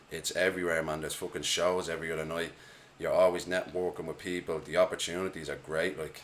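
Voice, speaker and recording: In an Irish accent, a man talks very fast in a very deep, low voice with flat, monotone intonation. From Ireland, Dublin. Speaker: hip-hop artist. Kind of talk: casual chat.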